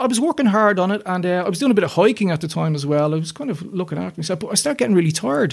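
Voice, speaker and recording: A man with a Dublin accent talks at a very fast pace with hardly any pauses, his high-pitched voice full of lively intonation. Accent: Dublin Irish. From Ireland, north Dublin. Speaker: illustrator and children's author. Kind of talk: interview testimony.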